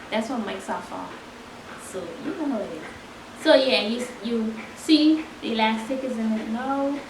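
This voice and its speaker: Quiet and fairly high in pitch, a woman talks at a moderate pace with long, frequent pauses and big swings in loudness, amid noticeable background noise and audible room echo. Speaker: sewing tutorial creator. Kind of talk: tutorial.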